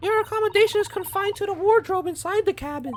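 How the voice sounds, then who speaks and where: A man's squeaky put-on character voice, extremely high in pitch and delivered at a very fast pace. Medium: game stream. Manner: formal, polite.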